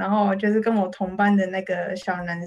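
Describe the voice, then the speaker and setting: In a Taiwanese accent, a woman speaks with monotone, flat intonation. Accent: Taiwanese Mandarin. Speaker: illustrator and author. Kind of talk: interview.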